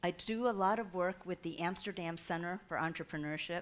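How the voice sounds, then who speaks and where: A woman's medium-pitched voice with a Chinese accent, a fairly quick pace and fairly even intonation, on a very clean recording with a silent background. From Taiwan. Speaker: entrepreneurship consultant and guest lecturer. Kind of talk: lecture.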